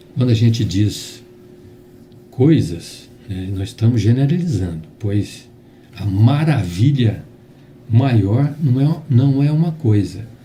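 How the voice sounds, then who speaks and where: Medium-pitched male speech, very slow, with lively intonation, long and frequent pauses, and audible room echo. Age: 60s. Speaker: spiritist lecturer. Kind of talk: religious talk. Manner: halting.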